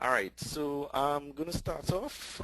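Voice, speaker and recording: A man with a Trinidadian accent against a quiet background. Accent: Trinidadian, noticeable. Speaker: tech conference speaker. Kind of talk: webinar presentation.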